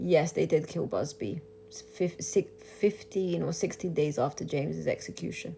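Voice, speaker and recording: A woman with an Albanian accent at a moderate pace. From Kosovo. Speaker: livestreamer, widow of executed inmate. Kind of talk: casual livestream chat. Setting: live video stream. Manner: animated.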